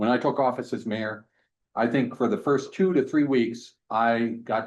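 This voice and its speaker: A man's voice sits at a medium pitch with a quiet background behind it. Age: 60s. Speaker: mayor. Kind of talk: public meeting discussion. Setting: council committee meeting room. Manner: hesitant, frequent fillers.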